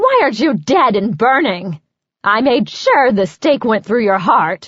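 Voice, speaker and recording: This is a put-on character voice, growling and shrill. The tone is furious. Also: woman, fairly high pitch for a woman, moderate pace. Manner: furious, accusing.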